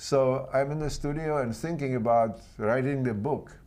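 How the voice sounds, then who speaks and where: With a Czech accent, a man speaks at medium pitch in a dark, mellow tone with fairly even intonation. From Czechoslovakia. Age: 80s+. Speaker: artist, sculptor and author. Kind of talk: interview. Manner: halting.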